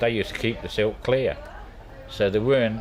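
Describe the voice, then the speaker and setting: Very fast speech from a man amid noticeable background noise. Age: 70s. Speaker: retired canal boatman. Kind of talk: casual chat.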